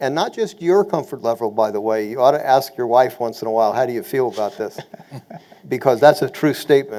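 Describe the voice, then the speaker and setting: A man's medium-pitched voice with lively intonation at a fairly quick pace amid noticeable background noise. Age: 60s. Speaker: real estate investor panelist. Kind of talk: webinar panel discussion.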